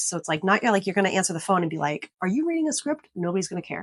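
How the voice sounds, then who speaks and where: A woman speaks in an unremarkable speaking voice at medium pitch, with lively intonation. The sound is dry and close, with no echo. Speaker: realtor and sales trainer. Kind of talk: tutorial. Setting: office.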